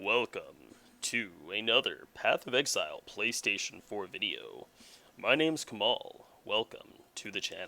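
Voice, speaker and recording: This is a put-on character voice. The man delivers it at a moderate pace. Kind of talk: radio broadcast. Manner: smooth announcer.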